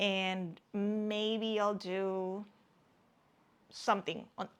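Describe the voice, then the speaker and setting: A woman speaks at a medium pitch with a non-native accent. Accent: non-native English, struggles with some words. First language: not English. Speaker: crafting YouTuber, knitter and crocheter. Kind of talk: casual show-and-tell vlog. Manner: hesitant, repeats words.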